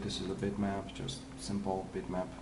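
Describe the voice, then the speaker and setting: A man's fairly low voice with a non-native accent, plus noticeable background noise and audible room echo. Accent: foreign. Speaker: 3D visualization artist. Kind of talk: tutorial. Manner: halting, many fillers.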